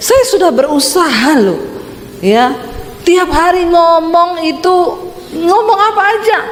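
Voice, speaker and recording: Extremely high-pitched, a woman talks with very wide pitch swings in a Sulawesi accent. Noticeable background noise runs under her voice. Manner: emotional, tense.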